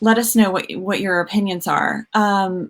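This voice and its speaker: Recorded very cleanly with a silent background, a woman speaks at medium pitch with fairly even intonation. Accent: Southern US. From US South, Georgia. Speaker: music therapist, livestream host. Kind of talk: live video conversation. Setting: livestream.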